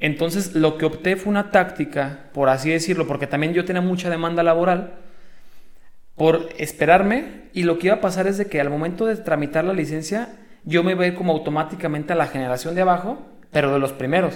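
Spoken with a Mexican accent, the delivery has ordinary pitch variation and a fairly quick pace. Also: man, high pitch for a man. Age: 20s. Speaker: sports rehabilitation graduate. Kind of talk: casual interview.

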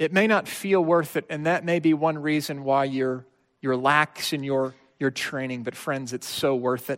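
Over a quiet background, a man talks in a normal speaking voice at a fairly high pitch, with ordinary pitch variation and a moderate pace. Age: 30s. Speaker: pastor. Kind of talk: sermon.

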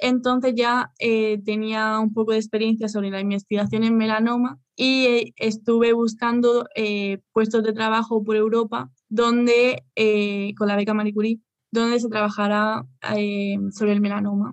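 A woman in a Spanish accent speaks at a fairly slow pace with a fairly high pitch and monotone, flat intonation. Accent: Peninsular Spanish. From Spain. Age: 20s. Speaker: pharmaceutical researcher, PhD student. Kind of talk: interview. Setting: video call.

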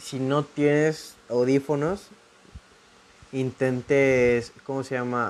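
With a Mexican accent, a man talks at a very slow pace in a medium-pitched, monotone, flat voice, leaving long, frequent pauses. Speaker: podcast host. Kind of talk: casual monologue. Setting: home recording.

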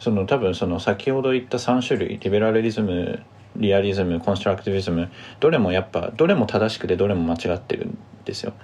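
A very fast pace with ordinary pitch variation. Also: man, fairly low pitch for a man. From Tokyo, Japan. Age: 20s. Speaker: journalism student. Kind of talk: casual discussion.

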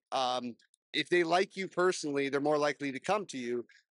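A man goes at a fairly quick pace in an ordinary speaking voice, his pitch varying in an ordinary way. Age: 30s. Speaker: podcast host. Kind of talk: casual interview. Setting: business showcase event at a casino.

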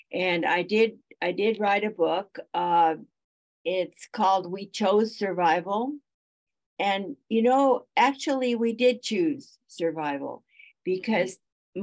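Lively intonation marks this woman's medium-pitched voice. She speaks at a very slow pace. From Austria. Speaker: Holocaust survivor. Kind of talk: audience question. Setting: video call.

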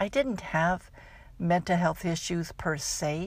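A woman speaks at a fairly slow pace with fairly even intonation and a fairly low pitch, in a plain, everyday voice. The recording is very clean, with a silent background. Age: 60s. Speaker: life coach and podcast host. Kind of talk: scripted outro; solo podcast monologue.

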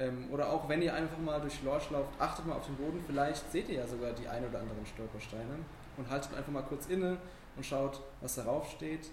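Through noticeable background noise and audible room echo, a man talks in a fairly even intonation. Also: fairly quick pace. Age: young. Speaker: podcast host, volunteer at a town culture office. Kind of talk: interview.

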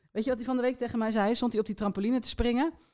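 A woman is talking. Her pitch moves in an ordinary way. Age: 30s. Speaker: podcast co-host. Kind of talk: casual chat.

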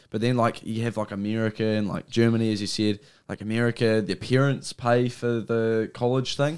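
On a very clean recording with a silent background, a man talks at a fairly quick pace in a medium pitch. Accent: New Zealand. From New Zealand. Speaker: podcast host. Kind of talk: casual chat. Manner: animated.

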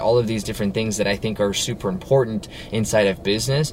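A fairly low-voiced man talks very fast with fairly even intonation against noticeable background noise. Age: 20s. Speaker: business owner and motivational podcaster. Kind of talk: solo motivational talk. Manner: casual, filler-heavy.

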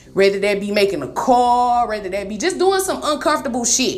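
Her voice high, a woman talks at a very fast pace with an animated tone and lively intonation, amid audible room echo and noticeable background noise. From Detroit, US Midwest. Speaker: motivational podcaster. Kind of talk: motivational monologue.

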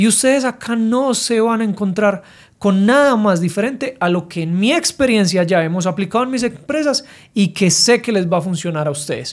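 On a very clean recording with a silent background, a man speaks in a high pitch at a moderate pace with lively intonation. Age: 30s. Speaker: business podcast host and entrepreneur. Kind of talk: solo podcast monologue. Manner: casual, direct.

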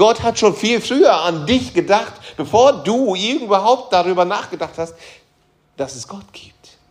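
Here a man speaks with a high pitch and very wide pitch swings. His pace is moderate. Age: 40s. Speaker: pastor. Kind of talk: sermon.

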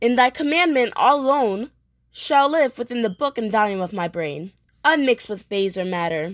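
A woman speaks at a moderate pace in a fairly high voice with very wide pitch swings, the sound dry and close with no echo. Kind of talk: dramatic soliloquy, Shakespeare performed aloud. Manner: impassioned, anguished, declamatory, vowing intensely.

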